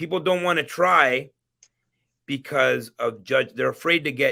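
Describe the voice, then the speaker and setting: On a very clean recording with a silent background, a man speaks at a fairly slow pace with a bright, sharp tone and ordinary pitch variation. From immigrant to Canada. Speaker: entrepreneur. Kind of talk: interview. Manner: halting, many repetitions.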